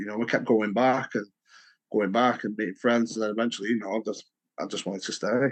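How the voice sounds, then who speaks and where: In a fairly low register, a man talks with flat, monotone intonation. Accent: northern English. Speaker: humanitarian volunteer and former English teacher. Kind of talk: interview, casual. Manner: hesitant, many fillers.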